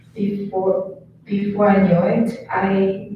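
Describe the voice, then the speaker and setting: Over noticeable background noise, a woman with a Chinese accent speaks at a medium pitch in a flat, monotone way. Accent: Mandarin Chinese. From China. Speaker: student. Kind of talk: reading aloud personal essay. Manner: halting.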